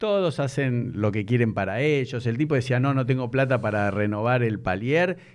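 A man talks in an ordinary speaking voice at a medium pitch with ordinary pitch variation. His pace is moderate, his loudness very even, with hardly any pauses. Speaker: podcast host. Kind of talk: casual interview.

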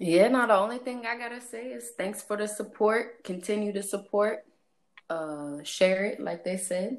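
A woman with an American accent, medium pitch, a moderate pace and lively intonation. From St. Louis area, US Midwest. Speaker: guest. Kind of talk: casual chat.

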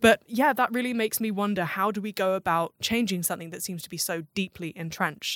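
In a southern English accent, a woman talks at a very fast pace with hardly any pauses, medium pitch and ordinary pitch variation, her voice dry and close with no echo on a very clean recording with a silent background. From southern England, Southampton. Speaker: podcast host, design researcher. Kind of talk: interview. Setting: office.

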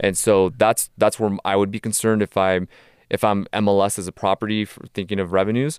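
Fairly quick and fairly even in intonation, a normal speaking voice comes through. The recording is very clean and dry, close, with a silent background and no echo. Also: man, fairly low pitch for a man. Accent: American. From Tijuana, Mexico and Southern California. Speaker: sports business consultant. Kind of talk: podcast interview.

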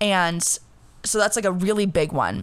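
A woman speaks at a medium pitch in an animated tone. The recording is very clean, with a silent background. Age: 20s. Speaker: podcast host. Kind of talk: casual solo chat. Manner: animated, hyped.

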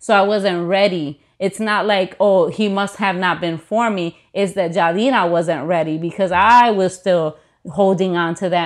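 Against a quiet background, a woman with an American accent and an unremarkable speaking voice speaks at a fairly slow pace, at medium pitch, with fairly even intonation and hardly any pauses. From US Midwest, Chicago. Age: 30s. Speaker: pastor. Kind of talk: casual chat.

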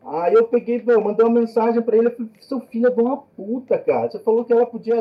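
Extremely high in pitch, a man talks at a fairly quick pace. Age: 40s. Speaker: filmmaker and professor. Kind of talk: casual chat.

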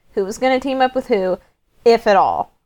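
This is an ordinary speaking voice from a woman with a fairly high pitch. She talks at a fairly quick pace with ordinary pitch variation. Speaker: podcast guest. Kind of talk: casual chat.

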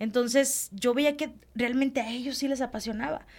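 A woman's high-pitched voice. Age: 40s. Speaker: children's radio presenter. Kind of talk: casual interview. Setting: studio.

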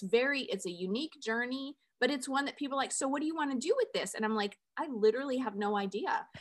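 The recording is very clean, with a silent background. A woman speaks in a plain, everyday voice at a fairly quick pace. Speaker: podcast host. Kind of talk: casual interview chat.

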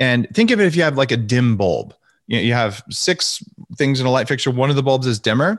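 A man speaks in a plain, everyday voice at a fairly quick pace with lively intonation, his loudness very even, on a very clean recording with a silent background. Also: medium pitch for a man. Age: 40s. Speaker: author and health expert. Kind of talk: interview.

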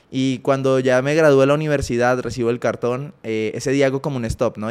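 Delivered at a very fast pace, a man's speech stays monotone, with flat intonation. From Colombia, Ibagué. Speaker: former athlete, entrepreneur. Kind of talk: interview conversation.

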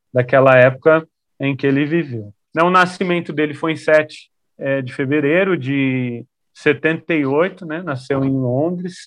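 A man speaks at a very slow pace in a fairly high voice. His pitch varies in an ordinary way. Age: 30s. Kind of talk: interview.

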